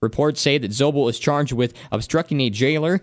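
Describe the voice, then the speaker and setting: Fairly high in pitch, a man talks with a normal speaking voice at a fairly quick pace and lively intonation. The sound is dry and close with no echo, on a very clean recording with a silent background. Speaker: radio broadcaster. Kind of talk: radio news read. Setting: studio.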